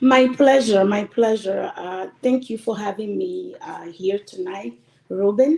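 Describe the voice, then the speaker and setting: A woman's fairly high voice with a dark, mellow tone, lively intonation and a very slow pace. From Togo, Lomé. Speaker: diaspora community member. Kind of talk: interview. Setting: live stream.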